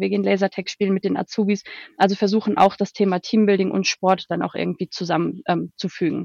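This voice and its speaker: A woman with vocal fry talks at a very fast pace in a medium-pitched voice. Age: 20s. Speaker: HR consultant. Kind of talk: interview. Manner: hesitant, many filler sounds.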